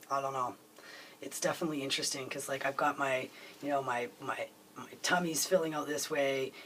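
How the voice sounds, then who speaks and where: Fairly high male voice at a fairly quick pace, with fairly even intonation and noticeable background noise. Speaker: video blogger. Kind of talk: casual vlog. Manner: halting, many fillers.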